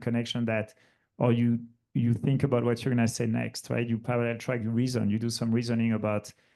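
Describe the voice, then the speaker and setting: Against a quiet background, a man with a French accent talks fairly quickly in a dark, mellow tone. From France. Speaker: logistics executive, panelist. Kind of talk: panel discussion. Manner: animated, casual with many fillers.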